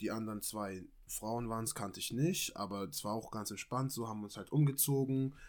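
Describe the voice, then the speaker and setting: Talking at a fairly quick pace with hardly any pauses, this man has an ordinary speaking voice, medium pitch and ordinary pitch variation. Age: 20s. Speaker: amateur model and footballer. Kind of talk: casual chat.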